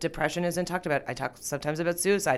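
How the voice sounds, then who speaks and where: In a Canadian accent, a woman speaks with a fairly low voice on a very clean recording with a silent background. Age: 30s. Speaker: comedian. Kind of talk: casual chat. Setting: studio.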